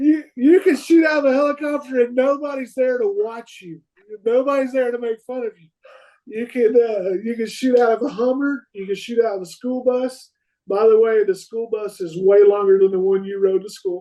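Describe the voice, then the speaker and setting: With a Texan accent, a man speaks at a moderate pace in an extremely high voice, with ordinary pitch variation and big swings in loudness. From Texas, Fort Worth. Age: 40s. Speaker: competitive rifle shooter. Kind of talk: podcast interview. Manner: animated.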